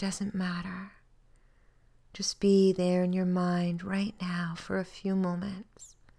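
A woman speaks at a very slow pace and medium pitch, somewhat breathy. Her tone is calm and her intonation monotone and flat. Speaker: registered clinical hypnotherapist. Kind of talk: soothing guided body-scan relaxation meditation. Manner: slow, calm, gently paced with long pauses; soft-spoken, repetitive, hypnotic reassurance.

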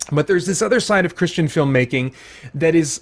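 The speaker is a man. Pitch variation in his speech is ordinary. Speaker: movie reviewer. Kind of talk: review commentary. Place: home room. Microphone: studio mic.

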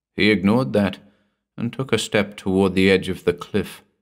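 Someone is reading aloud in a natural voice with fairly even intonation. The background is quiet.

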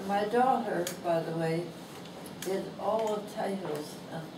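Speech moves at a fairly slow pace. Noticeable background noise runs underneath. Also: woman. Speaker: author. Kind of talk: reading aloud. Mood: warm, fond. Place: shop.

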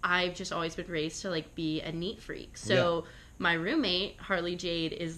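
Using an ordinary speaking voice, a woman talks at a moderate pace with a fairly low pitch and fairly even intonation. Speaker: podcast guest. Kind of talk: interview answer. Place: home room. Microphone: handheld.

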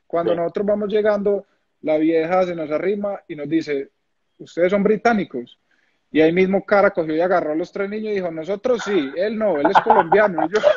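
Over light background noise, the talking goes at a fairly quick pace, with ordinary pitch variation. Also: man, high pitch for a man. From Colombia, Medellín. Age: 30s. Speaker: retired footballer, goalkeeper. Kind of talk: casual interview. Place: home room. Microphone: phone near.

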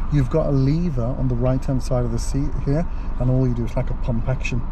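There is noticeable background noise behind a man whose voice sounds dry, with no echo. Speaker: driving instructor. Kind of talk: tutorial. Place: car. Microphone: camera far.

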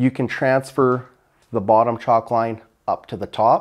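A man speaks against a quiet background. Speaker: builder host. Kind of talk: tutorial. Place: empty room. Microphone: lapel.

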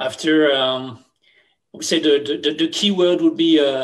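Against a quiet background, a man with a French accent speaks fairly slowly at a fairly high pitch. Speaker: retail CEO. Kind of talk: interview. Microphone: webcam.

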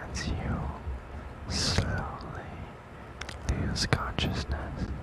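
Whispering and soft-spoken, the voice has a soothing tone and a dry sound with no echo, set against loud background noise. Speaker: roleplay narrator. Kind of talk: soft hypnosis roleplay narration. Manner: soft, slow, soothing hypnotic near-whisper.

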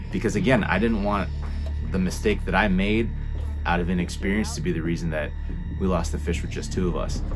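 Clear music plays in the background. Over it, a man with a very deep, low pitch talks at a fairly quick pace. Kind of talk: interview answer. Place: garage.

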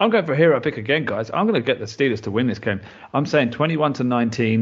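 A man with a British accent at a fairly quick pace. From UK. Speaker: podcast co-host, standing in as host. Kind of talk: casual chat.

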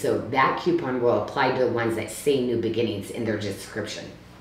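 Moderately paced woman's speech with audible room echo and light background noise. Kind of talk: live shopping presentation. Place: home room.

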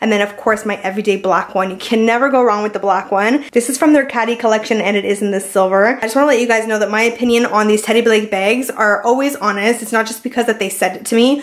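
Barely pausing, a woman speaks very fast. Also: fairly even intonation. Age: 20s. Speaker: lifestyle vlogger. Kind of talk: casual vlog talk to camera. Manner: fast, chatty. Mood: cheerful, playful. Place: home room. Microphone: phone near.

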